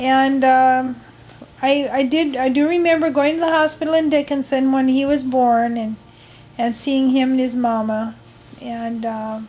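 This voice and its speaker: A woman's high-pitched voice in an Upper Midwest accent, fairly slow in pace, with fairly even intonation. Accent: Upper Midwest American. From US Midwest, North Dakota. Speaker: grandmother interviewed in documentary. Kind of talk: personal reminiscence interview. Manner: halting, many fillers.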